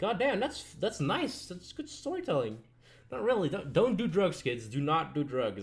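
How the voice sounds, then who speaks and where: The speech moves at a moderate pace. Vocal fry runs through the voice. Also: man. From Belgium. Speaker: streamer and animator. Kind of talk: casual live stream chat. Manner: halting, many fillers and restarts.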